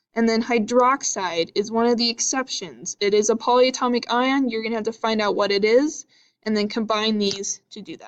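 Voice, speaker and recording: In an unremarkable speaking voice, a woman talks at a moderate pace with a fairly high pitch and ordinary pitch variation against a quiet background. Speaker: teacher. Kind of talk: lecture. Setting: video lesson.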